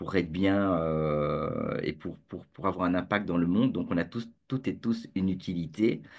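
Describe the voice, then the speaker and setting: Against a quiet background, a man with a very deep, low pitch talks at a fairly slow pace with ordinary pitch variation. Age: 50s. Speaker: entrepreneur, community founder. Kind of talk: interview. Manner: halting, many fillers and repetitions; joyful, jokey.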